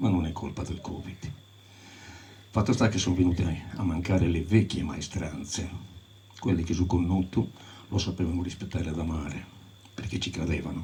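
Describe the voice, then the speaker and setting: A man's very deep, low voice with a dark, mellow tone, somewhat breathy, at a moderate pace with fairly even intonation and long, frequent pauses, plus audible room echo. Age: 70s. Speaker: folk tradition scholar. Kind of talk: talk to audience.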